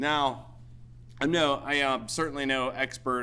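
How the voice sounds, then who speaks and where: Loud and at a moderate pace, a man with an American accent speaks at medium pitch. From Pennsylvania, Cambria County (Mineral Point). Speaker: military veteran. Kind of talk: ceremony speech.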